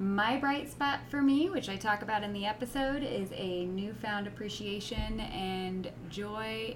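Over noticeable background noise and audible room echo, a woman speaks at a fairly slow pace. Her pitch is fairly high and her intonation lively. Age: 30s. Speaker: podcast co-host. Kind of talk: casual chat. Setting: recording the intro alone.

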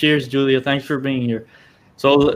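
A man speaks with a Spanish accent. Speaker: podcast co-host. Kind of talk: casual chat.

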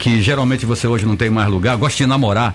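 A fairly low-pitched man's voice amid noticeable background noise. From Rio de Janeiro, Brazil. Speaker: photographer. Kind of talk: radio interview.

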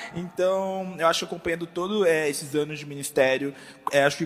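A man with a high pitch talks at a fairly quick pace over noticeable background noise. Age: 20s. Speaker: church communications staff. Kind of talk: panel discussion. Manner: casual slangy.

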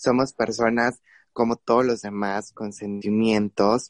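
Against a quiet background, a man speaks fairly slowly in a monotone, flat intonation, with a dry, close sound with no echo. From Guerrero, Mexico. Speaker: LGBT youth network regional director. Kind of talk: panel discussion.

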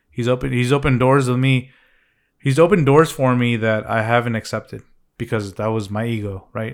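A man's ordinary speaking voice, medium-pitched with ordinary pitch variation, at a moderate pace, in a very clean recording over a silent background. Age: 30s. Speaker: podcast co-host, videographer. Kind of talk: casual podcast chat.

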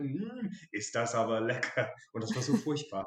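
The speaker is a man. His pitch sits fairly high. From southern England, Dorset. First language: English (speaking German). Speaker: English expat sharing his home cuisine. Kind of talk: casual interview.

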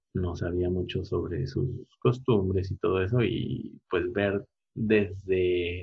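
A man's very deep, low voice, somewhat breathy. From Mexico, Puebla. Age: 30s. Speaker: architect. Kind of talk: interview. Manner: halting, with many repeated words.

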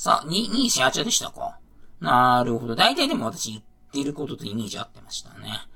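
A man at a fairly quick pace with big swings in loudness, over noticeable background noise. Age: 40s. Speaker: podcast host. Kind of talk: casual solo podcast talk. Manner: casual, rambling, filler-heavy.

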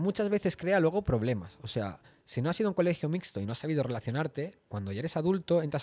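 The man's fairly high voice races along at a very fast pace. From Spain, Barcelona. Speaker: podcast host. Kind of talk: casual chat.

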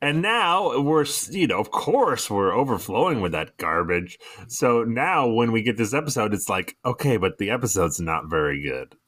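With vocal fry and very wide pitch swings, a man speaks at medium pitch and a moderate pace. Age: 30s. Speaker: podcast co-host. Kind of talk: casual chat.

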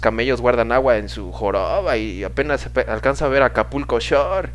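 The speaker keeps a moderate pace. Music plays in the background. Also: man. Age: 20s. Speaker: podcast host. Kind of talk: casual monologue. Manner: halting.

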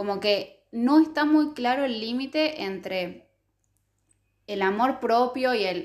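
A woman with a Rioplatense accent speaks at a very slow pace in a high pitch. Her intonation is lively. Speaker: podcast co-host. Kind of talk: casual chat. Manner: halting.

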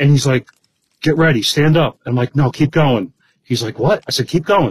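The voice is somewhat breathy, with ordinary pitch variation and a dry, close sound with no echo. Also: man. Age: 60s. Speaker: bowhunter. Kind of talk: casual chat.

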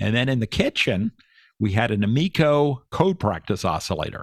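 A man with an American accent speaks fairly slowly in an unremarkable speaking voice with ordinary pitch variation. The sound is dry and close, with no echo. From Pennsylvania, Chester County. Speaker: retired electrical engineer and ham radio operator. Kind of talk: casual interview over radio.

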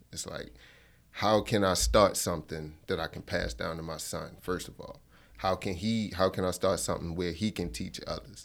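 On a very clean recording with a silent background, a man with an American accent speaks at a moderate pace in a very deep, low pitch, with vocal fry, ordinary pitch variation and big swings in loudness. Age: 20s. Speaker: fishing instructor and business owner. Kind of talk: interview. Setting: studio.

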